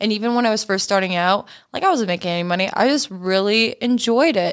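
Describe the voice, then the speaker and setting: A woman's plain, everyday voice at a fairly quick pace with ordinary pitch variation, in a very clean recording with a silent background. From Canada. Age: 20s. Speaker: content creator. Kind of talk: casual chat.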